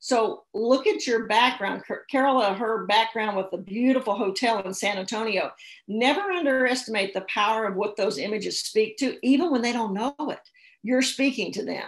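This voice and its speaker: Her voice is animated, with a fairly high pitch and an American accent. The woman keeps a moderate pace and ordinary pitch variation. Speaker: social media speaker. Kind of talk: seminar presentation.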